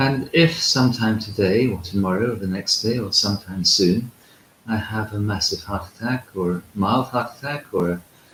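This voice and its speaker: A somewhat breathy man's voice at a moderate pace. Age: 60s. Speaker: Orthodox priest and monk. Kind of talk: spiritual talk. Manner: hesitant with frequent fillers.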